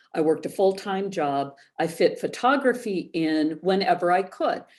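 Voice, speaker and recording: In a very clean recording with a silent background, a woman with an unremarkable speaking voice talks at a moderate pace, a medium pitch and with lively intonation. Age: 60s. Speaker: photographer, former social worker. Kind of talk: interview.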